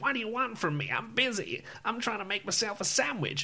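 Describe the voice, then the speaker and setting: Over clear background noise, a man does a put-on character voice at a high pitch and a fairly quick pace. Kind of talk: comic, game-humor style. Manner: brusque, annoyed.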